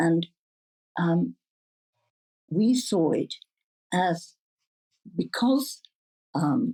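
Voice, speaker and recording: A woman with vocal fry and a fairly low voice speaks very slowly with lively intonation, pausing long and often. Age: 70s. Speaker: psychedelics researcher and foundation founder. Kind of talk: interview answer.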